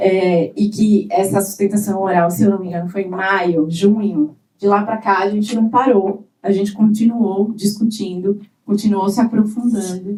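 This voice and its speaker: A woman speaks at a moderate pace and medium pitch in a dark, mellow, somewhat breathy voice with monotone, flat intonation. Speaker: government digital rights official. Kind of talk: conference panel talk. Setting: conference panel with audience.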